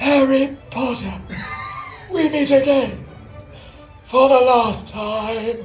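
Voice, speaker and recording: Clear music plays in the background as a high, put-on character voice speaks at a very slow pace. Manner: cold, menacing, hissing.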